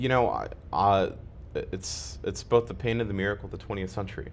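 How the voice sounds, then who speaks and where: The pitch moves in an ordinary way. It is a man talking. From Ukraine (Kharkiv), raised partly in US. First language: Russian. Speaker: community member interviewed about his life. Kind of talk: interview.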